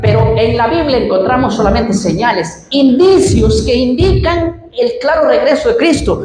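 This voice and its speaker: A woman's fairly slow speech carries audible echo from the room. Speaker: preacher. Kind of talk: sermon. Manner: animated.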